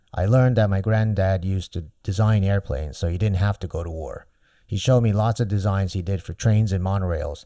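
In a very clean recording with a silent background, a man with an American accent talks at a fairly quick pace in a fairly low pitch, dark, mellow tone and ordinary pitch variation. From Japan, with childhood in the US. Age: 40s. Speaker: podcast host. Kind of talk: personal monologue.

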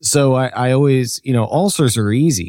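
In a very clean recording with a silent background, a man of medium pitch speaks with lively intonation in a plain, everyday voice, the sound dry and close with no echo. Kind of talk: casual chat.

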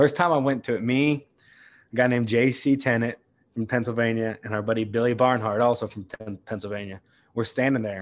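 With an American accent and an ordinary speaking voice, a man talks at a fairly quick pace in a medium pitch, keeping his intonation fairly even. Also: quiet background. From West Virginia. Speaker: bull rider and bullfighter. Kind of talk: casual interview.

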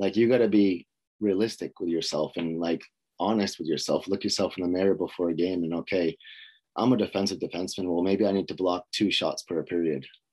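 At a fairly quick pace, a man with a very deep, low pitch speaks with fairly even intonation against a quiet background. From US Northeast (Boston, Massachusetts). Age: 30s. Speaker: hockey skills coach. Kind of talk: casual interview.

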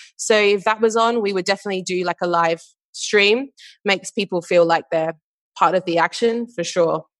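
A woman with an Australian accent talks at a moderate pace and medium pitch with fairly even intonation, in a dry, close sound with no echo and a quiet background. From Western Australia, Perth. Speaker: marketing manager. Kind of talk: interview.

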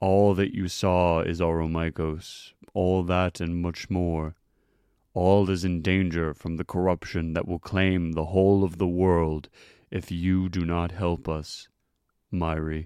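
A man's put-on character voice, very deep and low, monotone and flat, at a fairly slow pace on a very clean recording with a silent background. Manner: sad, solemn, formal.

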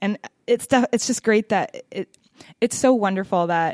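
A woman with an American accent and an unremarkable speaking voice, lively intonation at a moderate pace, in a dry, close sound with no echo. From US Pacific Northwest, Seattle. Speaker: podcast host. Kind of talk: casual interview.

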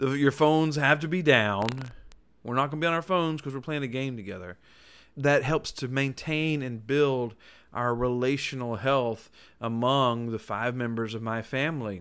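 Over a silent background in a very clean recording, a man with a plain, everyday voice speaks at a moderate pace. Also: medium pitch for a man, ordinary pitch variation. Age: 40s. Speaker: nurse and podcast host. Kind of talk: solo podcast monologue.

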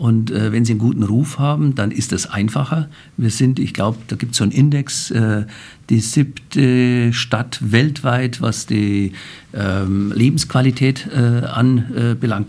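A man with a medium pitch and ordinary pitch variation speaks at a fairly slow pace. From Bavaria, Germany. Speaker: banker, president of a financial-centre association. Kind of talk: interview. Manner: hesitant, many filler sounds.

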